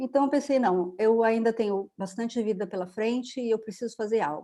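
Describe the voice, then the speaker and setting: A woman speaks at a fairly quick pace with a fairly high pitch and a dark, mellow tone. Her pitch varies in an ordinary way. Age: 60s. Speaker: holistic therapist, retired educator. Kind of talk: interview, personal story.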